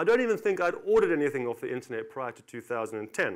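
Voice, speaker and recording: On a very clean recording with a silent background, a high-pitched man with a South African accent talks at a very fast pace with very wide pitch swings. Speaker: company director. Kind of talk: conference talk.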